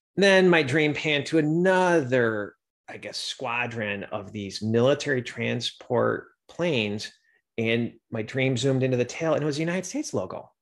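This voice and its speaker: A plain, everyday voice: a man at medium pitch speaks at a moderate pace with lively intonation, on a very clean recording with a silent background. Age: 50s. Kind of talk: podcast monologue.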